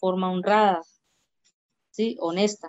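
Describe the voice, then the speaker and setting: Her intonation stays fairly even. The voice belongs to a woman and sits at a medium pitch. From Colombia, Arauca (Saravena), rural. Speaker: LGBT community leader. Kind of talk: interview. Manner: halting, repeats words.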